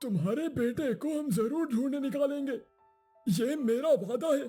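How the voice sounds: A man in a cartoonish character voice at a fairly slow pace, faint music in the background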